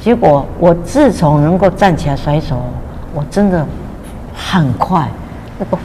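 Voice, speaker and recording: Someone talks at a moderate speed while noticeable noise fills the background. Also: woman. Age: 80s+. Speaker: retired teacher sharing a health testimony. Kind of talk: testimony. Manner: frequent filler sounds and repetitions.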